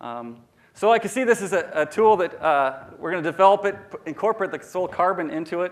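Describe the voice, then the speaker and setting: This man's voice sits high for a man, with lively intonation. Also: fairly quick pace. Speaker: researcher presenting at a scientific meeting. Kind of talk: conference talk. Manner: halting, many fillers and restarts; fast.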